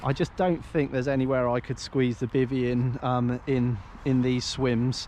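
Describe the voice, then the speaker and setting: A man at medium pitch with an English accent, moderate pace and monotone, flat intonation. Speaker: carp angler and fishing vlogger. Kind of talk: casual outdoor vlog walkthrough. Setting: outdoors by a lake. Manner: hesitant, many fillers.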